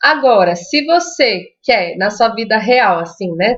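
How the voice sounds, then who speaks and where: The speaker uses a lively intonation in a Minas Gerais accent. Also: woman. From Brazil, Minas Gerais. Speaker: Spanish teacher. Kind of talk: live stream Q&A and tips. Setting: live stream. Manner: casual, conversational.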